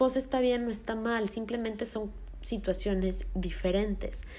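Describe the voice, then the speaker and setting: A woman speaks at a high pitch. Her pace is very slow. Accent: Mexico City. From Mexico City. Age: 20s. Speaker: podcast host. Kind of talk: solo podcast monologue.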